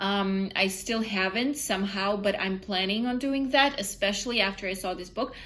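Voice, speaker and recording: A woman with a non-native accent speaks at a moderate pace and medium pitch, with ordinary pitch variation, hardly any pauses and audible room echo. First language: not English. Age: 20s. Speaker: book vlogger. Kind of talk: casual vlog. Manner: halting, many fillers.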